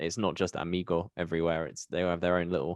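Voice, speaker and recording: A very fast British-accented man, very deep and low in pitch, with a dry, close sound, no echo and a quiet background. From UK. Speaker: podcast host. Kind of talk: podcast interview.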